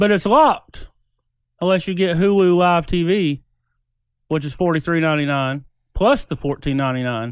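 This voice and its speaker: A man with a slight Southern US accent speaks at a high pitch. His intonation is lively, broken by long, frequent pauses. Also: moderate pace. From US South. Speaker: podcast co-host. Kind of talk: casual chat.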